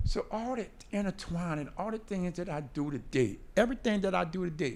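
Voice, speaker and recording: A man speaks with a high pitch. His pace is fairly quick. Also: lively intonation. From New Orleans. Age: 60s. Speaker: formerly incarcerated speaker. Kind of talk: panel discussion.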